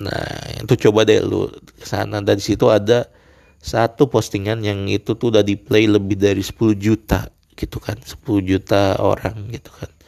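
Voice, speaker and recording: A man with a fairly low pitch talks at a moderate pace in a flat, monotone way. His loudness swings widely, and the sound is dry and close with no echo. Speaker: solo podcaster. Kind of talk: casual monologue. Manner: hesitant, many fillers.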